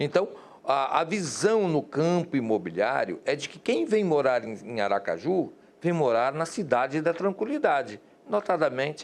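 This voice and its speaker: A man's plain, everyday voice at a moderate pace with lively intonation. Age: 60s. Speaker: TV interviewer, journalist. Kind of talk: interview.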